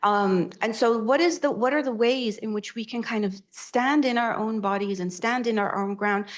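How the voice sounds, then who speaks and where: A woman's moderate pace over a quiet background. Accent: Arabic. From Egypt. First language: Arabic. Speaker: academic author. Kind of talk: panel discussion. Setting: library room with audience. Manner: halting, many fillers.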